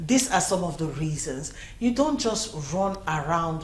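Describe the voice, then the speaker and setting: A woman with a Nigerian accent at a fairly slow pace, with very wide pitch swings, audible room echo, and noticeable background noise. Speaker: news show host. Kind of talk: news commentary.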